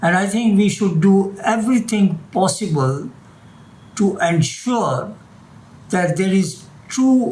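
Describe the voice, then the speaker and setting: Audible room echo surrounds a man with a high pitch who talks very slowly, with ordinary pitch variation. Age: 80s+. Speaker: retired doctor. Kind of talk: interview; reading aloud.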